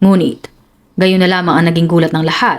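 The tone is serious. The pace is very fast. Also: woman. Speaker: true crime storyteller. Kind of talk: dramatic scripted crime narration. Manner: grave, suspenseful, measured storytelling pace; formal, serious news-report-like delivery.

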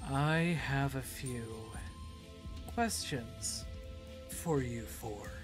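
A put-on character voice booms and bellows at a very slow pace over loud music in the background. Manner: ominous, commanding.

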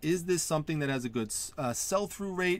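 The recording is dry with no echo as a man talks at a fairly quick pace with lively intonation. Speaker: online reseller channel host. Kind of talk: tutorial. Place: home room.

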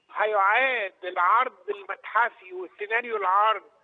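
A man talks at a fairly quick pace with a high pitch and ordinary pitch variation. The sound is dry and close, with no echo.

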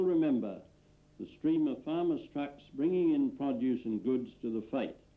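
A man talks with lively intonation at a moderate pace. He has a normal speaking voice with a fairly high pitch. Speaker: film narrator. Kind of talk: scripted archival film narration. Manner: measured, formal, dry-humoured.

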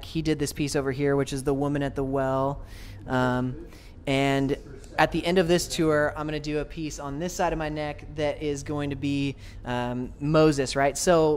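With light background noise, a man speaks at a moderate pace in a fairly high pitch and a monotone, flat intonation. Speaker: lead vocalist of a metalcore band. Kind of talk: interview answer. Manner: soft-spoken. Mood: friendly, soft-spoken. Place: home room. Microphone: handheld.

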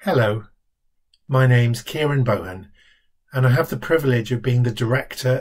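A man talks at a medium pitch, somewhat breathy, with ordinary pitch variation. The background is quiet. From London. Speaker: charity director. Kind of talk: scripted self-introduction. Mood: warm, calm, steady. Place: home room. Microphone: webcam.

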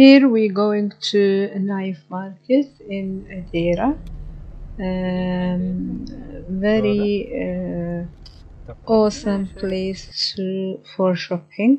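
Over light background noise, a woman in an Arabic accent speaks at medium pitch and a very slow pace, with ordinary pitch variation and long, frequent pauses. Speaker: vlogger. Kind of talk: casual vlog narration to camera. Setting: outdoors and in Dubai, on location. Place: car. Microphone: phone near.

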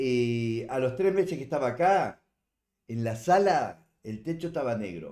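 Over a quiet background, a man with a dark, mellow tone talks at a fairly slow pace with lively intonation. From Uruguay. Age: 70s. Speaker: livestreamer. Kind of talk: casual chat. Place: home room.

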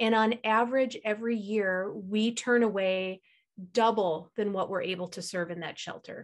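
Against a quiet background, a woman speaks with fairly high pitch. Her pace is moderate and her intonation fairly even. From US Midwest. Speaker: shelter executive director; guest. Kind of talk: presentation. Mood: earnest, concerned. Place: home room. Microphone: video call.

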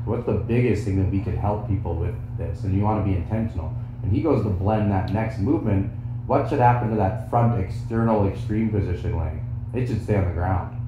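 Fairly quick speech from a man with fairly low pitch and fairly even intonation, plus noticeable background noise and audible room echo. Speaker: fitness mentor teaching trainers. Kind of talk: instruction. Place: home room.

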